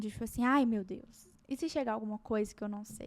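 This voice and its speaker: A woman speaks with lively intonation. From Minas Gerais, Brazil (small town). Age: 20s. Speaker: psychiatry resident doctor. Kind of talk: podcast interview. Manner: conversational, many hesitations and repetitions.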